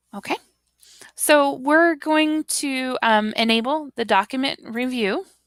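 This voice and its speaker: A woman with an American accent talks very slowly at a high pitch with ordinary pitch variation, in a dry, close sound with no echo. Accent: Southern US, heavy at times. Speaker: teacher trainer. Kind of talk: tutorial. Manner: casual, with fillers.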